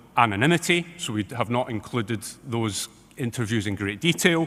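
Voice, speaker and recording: Lively intonation marks this man's speech in a strong British accent. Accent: strong regional accent, UK. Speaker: academic researcher, expert witness. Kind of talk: expert testimony at tribunal hearing. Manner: fast.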